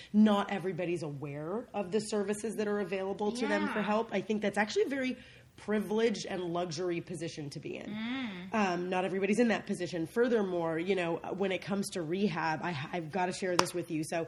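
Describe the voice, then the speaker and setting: With noticeable background noise behind her, a woman of medium pitch and ordinary pitch variation speaks very fast with hardly any pauses. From Beirut, Lebanon. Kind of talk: interview answer.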